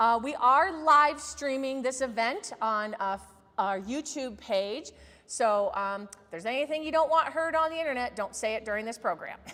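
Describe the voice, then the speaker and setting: A woman projects her voice in a raised, high-pitched delivery. Her intonation is lively and her pace moderate. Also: big swings in loudness. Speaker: museum education director. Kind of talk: event introduction. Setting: museum talk with live audience. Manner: loud. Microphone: no microphone, technical sound issues.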